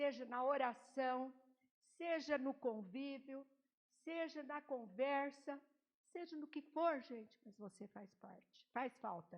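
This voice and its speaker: At a very slow pace, a woman speaks in a high voice with ordinary pitch variation and big swings in loudness. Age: 80s+. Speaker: lay preacher. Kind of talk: sermon. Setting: church.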